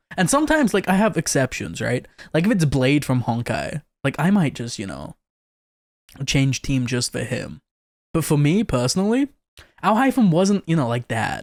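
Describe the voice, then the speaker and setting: In an animated tone, a man with a fairly high pitch speaks at a moderate pace with very wide pitch swings. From Britain. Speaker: vtuber streamer reacting to videos. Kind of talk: casual reaction commentary.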